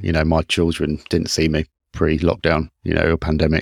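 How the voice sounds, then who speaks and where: A very deep, low-pitched man with a British accent at a fairly quick pace, in a very clean recording with a silent background and a dry, close sound with no echo. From United Kingdom. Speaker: podcast host, engineering manager. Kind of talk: casual interview conversation.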